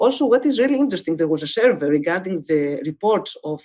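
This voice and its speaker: A woman with a Greek accent speaks with lively intonation. Her tone is dark and mellow, and her pitch fairly low. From Greece. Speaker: medical professor. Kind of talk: webinar lecture. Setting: online webinar. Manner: halting, many filler sounds.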